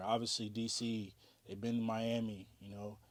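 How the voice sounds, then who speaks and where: There is audible room echo around a man with an American accent who speaks in a monotone, flat intonation. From US South, North Carolina and Virginia. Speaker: DJ and music artist. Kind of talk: interview. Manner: casual, many fillers.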